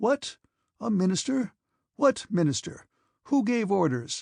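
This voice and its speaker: A put-on character voice, shrill and raspy at a fairly high pitch. It moves at a fairly slow pace. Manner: indignant.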